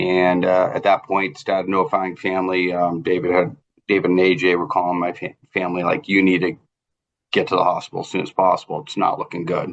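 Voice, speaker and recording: With a Boston accent, a man at very deep, low pitch talks at a fairly quick pace with fairly even intonation. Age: 50s. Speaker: trauma survivor. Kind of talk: interview testimony. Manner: halting, many fillers.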